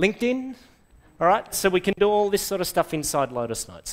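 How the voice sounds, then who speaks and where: A man talks at a fairly quick pace with an Australian accent. His pitch sits high. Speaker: software trainer / conference speaker; software trainer, conference speaker. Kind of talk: presentation to a live audience. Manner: animated. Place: classroom.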